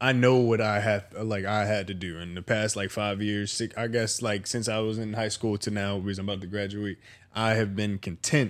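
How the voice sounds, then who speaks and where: At a moderate pace, a man with a plain, everyday voice speaks at a fairly low pitch with fairly even intonation on a very clean recording with a silent background. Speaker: guest co-host. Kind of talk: casual chat. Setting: guest's home.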